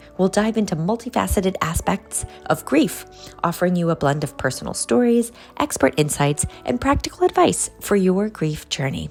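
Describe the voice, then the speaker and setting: With music in the background, a woman of medium pitch speaks at a moderate pace, her voice making very wide pitch swings. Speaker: podcast host. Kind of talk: podcast intro.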